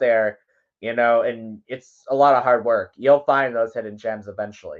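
Over a quiet background, a man with a plain, everyday voice speaks at a moderate pace. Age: young. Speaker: songwriter and radio promoter. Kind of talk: casual interview. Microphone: connection cutting in and out.

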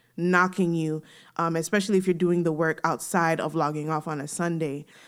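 With an ordinary speaking voice, a woman talks at a fairly low pitch and with fairly even intonation on a very clean recording with a silent background. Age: 30s. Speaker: podcast co-host. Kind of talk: casual chat.

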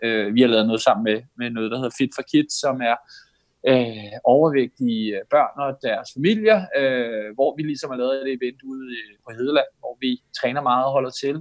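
Dry and close with no echo, a man's voice carries ordinary pitch variation. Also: medium pitch for a man, moderate pace. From Denmark, Roskilde. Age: 40s. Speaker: ultrarunner and advertising salesman. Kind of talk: podcast interview. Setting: remote line. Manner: talkative.

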